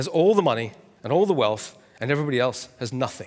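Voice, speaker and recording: A man with a Scottish accent, fairly high pitch, very wide pitch swings and a fairly quick pace. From Scotland. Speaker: author and economic commentator. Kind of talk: conference talk.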